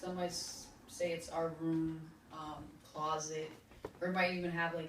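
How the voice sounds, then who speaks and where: A woman talks at a fairly slow pace in a monotone, flat intonation, with noticeable background noise behind her. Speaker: spoken word poet. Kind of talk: casual talk to an audience.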